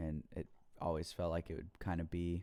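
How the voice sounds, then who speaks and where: A man's very deep, low voice, dark and mellow in tone, on a very clean recording with a silent background. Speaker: home musician explaining own mixing. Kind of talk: tutorial. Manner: casual, hesitant with fillers.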